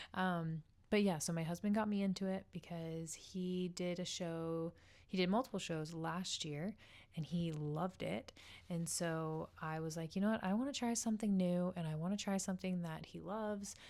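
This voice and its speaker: Talking at a moderate pace, a woman with an unremarkable speaking voice keeps a fairly low pitch and fairly even intonation. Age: 20s. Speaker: occupational therapist and fitness vlogger. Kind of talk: casual vlog chat. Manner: casual with many filler ums.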